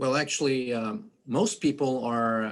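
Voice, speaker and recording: A man with a Quebec accent, medium pitch, fairly even intonation and a fairly slow pace. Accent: French-Canadian accent in English. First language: French. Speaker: activist, foundation head, accountant. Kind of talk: panel discussion. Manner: halting, many fillers.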